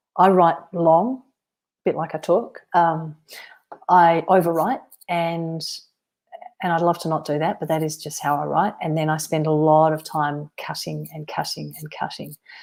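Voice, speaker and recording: A woman speaks at a moderate pace with a fairly low pitch. Her intonation stays fairly even. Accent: Australian. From Western Australia. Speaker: novelist. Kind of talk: live-stream author Q&A. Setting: solo live stream.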